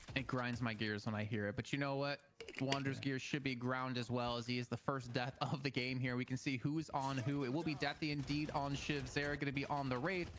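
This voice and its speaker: Against noticeable background noise, a man of medium pitch talks fairly quickly at a very even loudness, with fairly even intonation and hardly any pauses. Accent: American. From United States. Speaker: esports caster. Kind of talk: live commentary.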